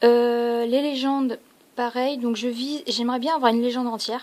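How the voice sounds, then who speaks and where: At a moderate tempo, a woman talks in a high voice. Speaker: card opening youtuber. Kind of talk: casual unboxing video. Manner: hesitant with fillers.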